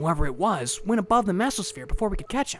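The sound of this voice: In a cartoonish character voice, a man talks fast with a high pitch, a fairly bright tone and big pitch swings.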